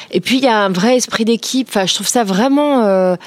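Here a woman has an unremarkable speaking voice. Her intonation is lively. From Paris region, France (Créteil). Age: 40s. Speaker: entrepreneur. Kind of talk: interview.

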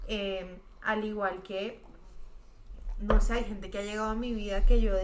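A fairly high-pitched woman with monotone, flat intonation, amid audible room echo. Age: 20s. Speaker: singer and music student. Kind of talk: casual chat.

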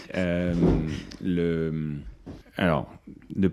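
With a dark, mellow tone and fairly even intonation, a man speaks at a very deep, low pitch. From France (Paris), early childhood in India. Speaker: business school dean. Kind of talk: interview. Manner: hesitant, many fillers.

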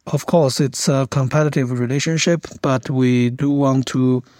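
In a Chinese accent, a man with a medium-pitched voice speaks at a fairly slow pace with fairly even intonation, the sound dry and close with no echo. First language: Mandarin Chinese. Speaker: international security academic. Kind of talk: interview.

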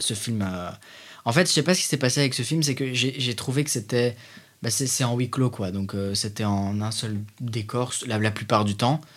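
Moderately paced speech from a man at a medium pitch, its pitch varying in an ordinary way. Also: very clean recording, silent background. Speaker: film student. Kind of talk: casual chat.

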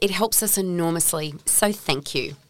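A woman speaks with an Australian accent. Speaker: podcast host. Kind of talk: casual interview; scripted intro and outro. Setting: studio.

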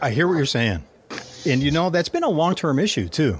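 Against noticeable background noise, a man with a fairly high pitch talks with ordinary pitch variation. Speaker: podcast host and speaker. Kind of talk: casual chat.

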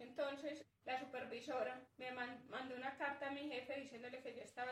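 With audible room echo around her, a woman talks at a moderate pace in a high, flat monotone, hardly pausing at all. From Colombia, northern Antioquia. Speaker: herbalist and community worker. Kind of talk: interview conversation.

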